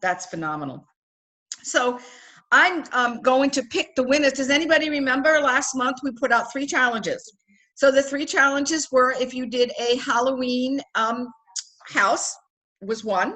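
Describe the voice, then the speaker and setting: Projecting a raised, high-pitched voice with a bright, sharp tone, a woman speaks at a moderate pace with ordinary pitch variation and long, frequent pauses. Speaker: direct sales team director. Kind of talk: online team training meeting. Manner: upbeat, enthusiastic.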